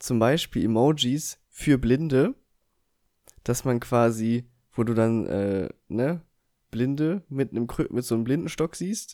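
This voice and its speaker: Speaking at a fairly slow pace, a man with a medium-pitched voice is heard on a very clean recording with a silent background. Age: 20s. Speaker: podcast co-host. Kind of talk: casual chat.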